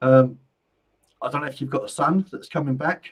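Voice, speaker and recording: This man's voice is somewhat breathy and fairly high in pitch, and his pace is fairly quick. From London, England. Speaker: psychic medium. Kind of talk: live-stream card reading. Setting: live stream. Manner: casual.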